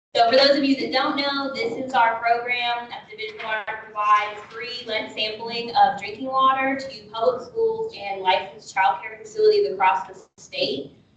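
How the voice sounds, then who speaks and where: Amid audible room echo and noticeable background noise, a woman speaks at a high pitch and moderate pace with ordinary pitch variation, big swings in loudness and hardly any pauses. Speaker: state water program staff. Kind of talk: committee meeting update. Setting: meeting room with online participants.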